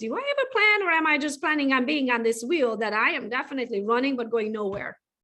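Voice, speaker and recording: At a very fast pace, a woman speaks in a high, bright, sharp voice with lively intonation. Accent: non-native. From Europe. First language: not English. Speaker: podcast host. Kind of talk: interview.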